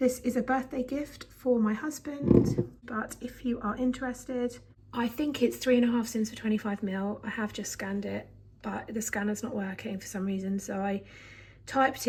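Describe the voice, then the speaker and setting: A woman with a fairly high pitch and a dark, mellow, somewhat breathy tone speaks at a moderate pace with fairly even intonation. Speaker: vlogger. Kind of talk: casual chat.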